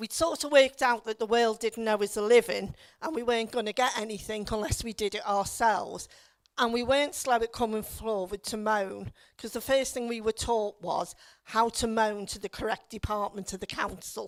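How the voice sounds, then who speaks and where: A woman with a Liverpool accent, fairly high pitch, ordinary pitch variation and a moderate pace, in a very clean recording with a silent background. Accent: Liverpool (Scouse). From Liverpool, England. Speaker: local councillor. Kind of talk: public talk. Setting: stage with audience.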